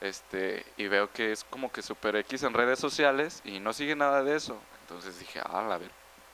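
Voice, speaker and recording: A man speaks in a normal speaking voice at a medium pitch with ordinary pitch variation. He keeps a moderate pace with hardly any pauses. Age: 20s. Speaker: math student. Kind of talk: casual chat.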